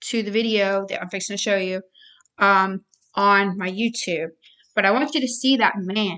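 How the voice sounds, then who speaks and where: Her tone is bright and sharp as a woman speaks at medium pitch and a moderate pace. Behind her, the background stays quiet. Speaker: personal testimony vlogger. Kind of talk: personal testimony. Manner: stuttering, halting.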